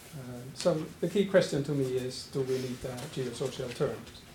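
Soft-spoken and fairly slow, a man talks with an Icelandic accent. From Iceland, Westman Islands. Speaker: anthropology professor. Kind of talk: academic lecture. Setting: lecture hall with audience.

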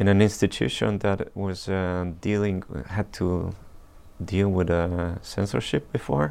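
The speech comes at a fairly slow pace with fairly even intonation. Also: man, very deep, low pitch for a man. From rural Poland, later Detroit. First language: Polish. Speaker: painter. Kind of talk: casual interview. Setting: artist's studio.

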